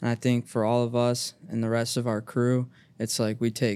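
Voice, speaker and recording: With a Midwestern American accent, a man talks at a medium pitch with fairly even intonation and a dark, mellow tone, captured on a very clean recording against a silent background. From Cincinnati, Ohio (east side). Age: 20s. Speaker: college basketball team manager. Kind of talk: casual chat.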